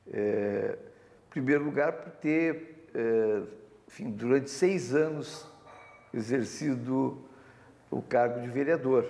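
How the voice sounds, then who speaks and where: Fairly high-pitched male speech, very slow, with long, frequent pauses, big swings in loudness and audible room echo. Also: ordinary pitch variation. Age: 60s. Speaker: author and former city councillor. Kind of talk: TV interview. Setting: TV studio. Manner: hesitant, many fillers.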